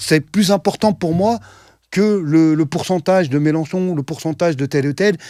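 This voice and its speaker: With an unremarkable speaking voice, a man at a fairly high pitch talks at a moderate pace with ordinary pitch variation, the sound dry and close with no echo. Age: 60s. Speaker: activist. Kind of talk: debate.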